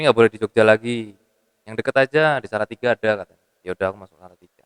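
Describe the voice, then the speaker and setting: Here a man talks at a very fast pace. His loudness swings widely. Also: medium pitch for a man, ordinary pitch variation. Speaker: musician. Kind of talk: casual interview.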